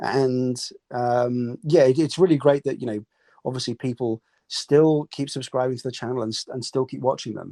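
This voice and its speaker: A man speaks at medium pitch and moderate pace with fairly even intonation and a dark, mellow tone. His loudness swings widely, and the sound is dry and close with no echo. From South Africa. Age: 30s. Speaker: travel YouTuber. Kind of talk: casual chat. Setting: live audio chat on an app. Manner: halting, many fillers and repeats.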